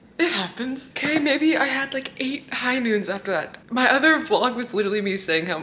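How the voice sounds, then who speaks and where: A woman with an American accent talks at a fairly quick pace. Her pitch swings very widely over noticeable background noise. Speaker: fitness vlogger and coach. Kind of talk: casual vlog talk to camera. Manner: animated.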